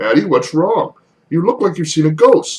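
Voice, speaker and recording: A man does a put-on character voice at a high pitch. He keeps a moderate pace. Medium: read story.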